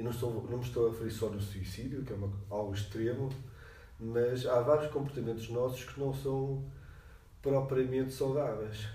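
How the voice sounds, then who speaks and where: Over noticeable background noise and audible room echo, a man speaks at a medium pitch and moderate pace with fairly even intonation. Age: 50s. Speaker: psychology professor. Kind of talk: interview.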